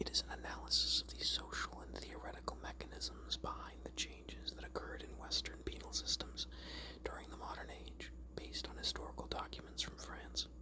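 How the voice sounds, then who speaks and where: The speaker is whispering and soft-spoken. Noticeable background noise sits behind the voice. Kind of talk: whispered ASMR reading of a Wikipedia article. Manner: whispered, soft-spoken.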